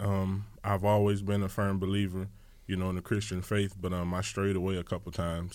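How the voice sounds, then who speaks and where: A man with a very deep, low pitch and a Louisiana accent, fairly quick in pace, flat and monotone in intonation, on a very clean recording with a silent background. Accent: Southern US, Louisiana. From Louisiana, New Iberia. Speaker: pro football player. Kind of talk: radio interview. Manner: passionate, intense.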